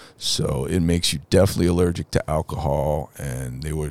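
Noticeable background noise runs through the clip. Over it comes a man's very deep, low voice. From New Orleans, raised in New Jersey till eleven. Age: 50s. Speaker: podcast guest, recovering addict. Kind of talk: casual chat, life story. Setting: in a shop.

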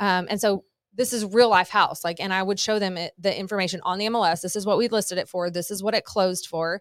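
A woman's medium-pitched voice at a very fast pace with fairly even intonation. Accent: American. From Southern California. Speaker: real estate agent and broker. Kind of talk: casual interview.

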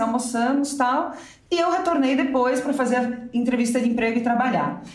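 A woman's high-pitched voice at a fairly quick pace with ordinary pitch variation, amid audible room echo and noticeable background noise. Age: 40s. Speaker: novelist. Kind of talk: casual interview.

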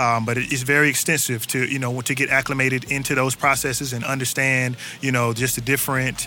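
Flat, monotone delivery at a fairly quick pace over noticeable background noise. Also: man. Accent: North Carolina. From North Carolina, Durham. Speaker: urban agriculture worker and musician. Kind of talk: casual interview. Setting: outdoors on a back porch.

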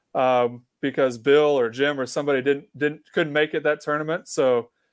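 A man with an American accent and a normal speaking voice talks at a moderate pace in a fairly high pitch. His intonation is fairly even, and the background is quiet. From Kansas. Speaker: college beach volleyball head coach. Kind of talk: casual interview.

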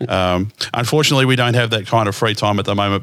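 Speaking in an Australian accent, a man talks at a fairly quick pace and a medium pitch with fairly even intonation. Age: 50s. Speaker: podcast host. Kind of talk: casual chat.

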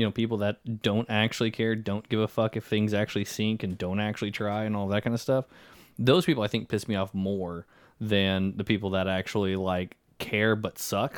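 In a very clean recording with a silent background and a dry, close sound with no echo, a man speaks at a moderate pace and fairly low pitch, with fairly even intonation and an ordinary speaking voice. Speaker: podcast host. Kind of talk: casual banter podcast.

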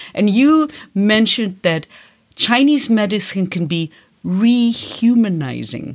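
Speaking with a German accent, a woman has a medium pitch and very wide pitch swings. Her pace is very slow. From Germany, Bavaria (Franconia). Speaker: podcast host, Chinese medicine historian. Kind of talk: casual conversation. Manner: halting.

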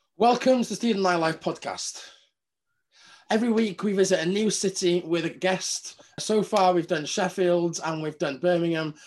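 Against a quiet background, the speaker talks at a moderate pace with a Welsh accent and ordinary pitch variation. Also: man, high pitch for a man. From Wales. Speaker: podcast host. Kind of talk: casual chat.

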